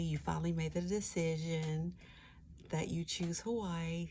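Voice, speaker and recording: A soft-spoken woman with an American accent talks at a fairly slow pace. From US East Coast. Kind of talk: ASMR travel agent roleplay. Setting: quiet studio, close-mic desk roleplay. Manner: soft-spoken, friendly.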